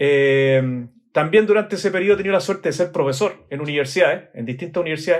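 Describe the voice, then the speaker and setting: A man's fairly high voice in a Chilean accent, very fast, with ordinary pitch variation. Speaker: architect. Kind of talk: interview. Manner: hesitant, many fillers.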